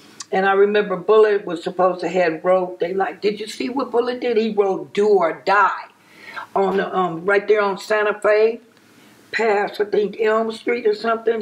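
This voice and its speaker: A woman with an American accent speaks at a medium pitch and a moderate pace, with ordinary pitch variation and noticeable background noise. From Compton, Los Angeles, California. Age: 60s. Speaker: interviewee recalling neighborhood gang history. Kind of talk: interview.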